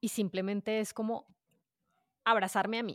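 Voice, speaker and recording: In a very clean recording with a silent background and a dry, close sound with no echo, a woman speaks at a moderate pace in a medium pitch. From Colombia, Bogotá. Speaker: podcaster. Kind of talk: casual interview.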